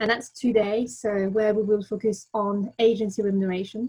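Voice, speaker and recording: Somewhat breathy and fairly high-pitched, a woman with a French accent speaks at a moderate pace. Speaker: webinar host. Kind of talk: webinar presentation. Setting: video call webinar.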